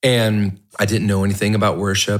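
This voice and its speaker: A man with a normal speaking voice and a fairly low pitch talks at a moderate pace. The recording is very clean, with a silent background. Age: 30s. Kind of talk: casual chat. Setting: home podcast room.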